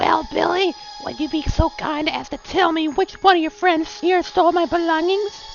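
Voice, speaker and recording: An extremely high-pitched, put-on character voice moves at a moderate pace over clear music in the background. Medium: read story. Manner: gleeful malevolence, sugary and patronizing.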